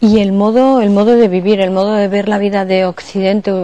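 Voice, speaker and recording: A woman's monotone, flat intonation holds at a fairly quick pace, with noticeable background noise present. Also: medium pitch for a woman. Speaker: radio program host and interviewer. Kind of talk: interview questions.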